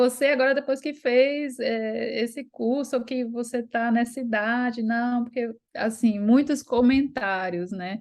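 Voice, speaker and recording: Against a quiet background, a high-pitched woman speaks at a fairly slow pace with fairly even intonation and hardly any pauses. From Brazil, Recife. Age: 30s. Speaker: course student sharing her story. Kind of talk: testimony.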